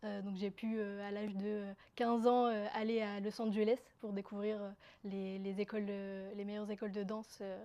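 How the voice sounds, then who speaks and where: The tone is dark and mellow, and the pace is moderate. Intonation stays monotone and flat. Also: woman, medium pitch for a woman. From northern France (Roubaix), from Algeria at 5. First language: Kabyle (speaking French). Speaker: interviewee telling her life story. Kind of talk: personal testimony. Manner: halting, many fillers.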